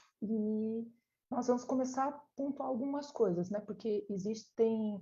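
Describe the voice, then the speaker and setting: Soft-spoken and fairly slow, a woman talks at a fairly high pitch with ordinary pitch variation. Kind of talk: lecture. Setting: online live stream.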